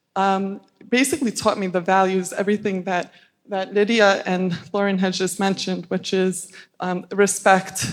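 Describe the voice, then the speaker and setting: Here a woman talks in a medium pitch. Her pace is fairly slow. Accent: Albanian. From US Northeast, Staten Island, New York. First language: Albanian. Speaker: panelist. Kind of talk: panel discussion.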